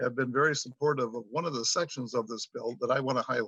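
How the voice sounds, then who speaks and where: Very fast speech from a man with ordinary pitch variation, recorded dry and close with no echo. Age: 60s. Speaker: school superintendent. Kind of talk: legislative testimony. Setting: remote video hearing.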